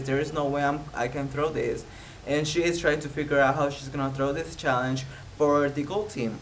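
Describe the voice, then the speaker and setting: A man with a Spanish accent at a fairly high pitch, moderate pace and fairly even intonation, with audible room echo and noticeable background noise. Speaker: YouTuber, TV show recapper. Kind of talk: casual TV recap vlog. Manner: hesitant, many fillers.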